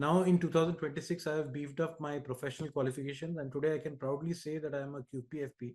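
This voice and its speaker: A man's somewhat breathy voice, very fast and flat in a monotone. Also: fairly high pitch for a man. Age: 60s. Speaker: finance professional. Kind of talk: convocation speech. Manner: halting.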